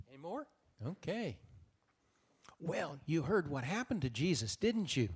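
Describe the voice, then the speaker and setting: A man speaks at a moderate pace in a fairly high voice with vocal fry. His pitch swings very widely, broken by long, frequent pauses. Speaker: Biblical storyteller. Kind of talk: Bible storytelling to a live audience, including children.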